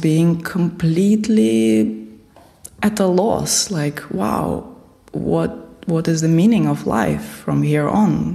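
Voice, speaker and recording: At a very slow pace and a very deep, low pitch, a woman speaks with a Russian accent amid audible room echo and noticeable background noise. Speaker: spiritual teacher. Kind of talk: interview.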